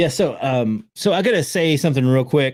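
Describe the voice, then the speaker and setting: His intonation is lively, with an American accent. The man's pitch sits in the medium range. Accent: Southern US (redneck accent). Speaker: podcast host. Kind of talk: casual chat.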